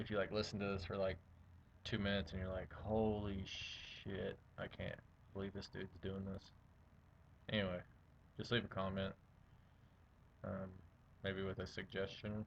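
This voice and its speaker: A man's fairly low, monotone voice at a moderate pace, flat in intonation and broken by long, frequent pauses. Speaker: self-study vlogger. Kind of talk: reading aloud from a textbook with casual asides. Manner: casual, hesitant with many fillers.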